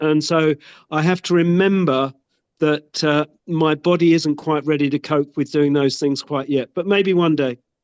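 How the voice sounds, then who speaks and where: A man with an ordinary speaking voice and fairly high pitch talks at a moderate pace, his loudness very even and his intonation fairly even, in a dry, close sound with no echo. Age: 60s. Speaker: product user giving testimonial. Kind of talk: testimony.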